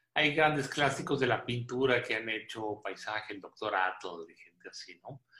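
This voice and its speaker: A man speaks with lively intonation and a bright, sharp tone. His loudness swings widely. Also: medium pitch for a man, moderate pace, hardly any pauses. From northern Mexico (Coahuila). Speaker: photographer and visual artist. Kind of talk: radio interview.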